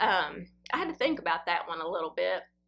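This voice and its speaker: A woman with a Southern US accent talks in a bright, sharp tone. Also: very clean recording, silent background. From Tennessee. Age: 50s. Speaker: fashion vlogger. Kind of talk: casual Q&A chat.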